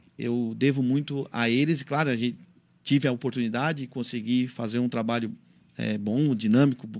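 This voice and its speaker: Here a man speaks at a moderate pace. His medium pitch follows a fairly even intonation. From Santa Catarina, Brazil. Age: 30s. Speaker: city councillor. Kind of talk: radio interview. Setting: radio studio. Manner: halting.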